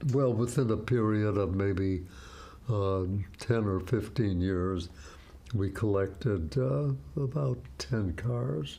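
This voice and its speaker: A man speaks very slowly, fairly low in pitch and somewhat breathy, with long, frequent pauses. His intonation is lively while his loudness stays very even. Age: 90s. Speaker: World War II veteran, retired orthopedic surgeon, novelist. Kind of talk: interview answer. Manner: slow, hesitant.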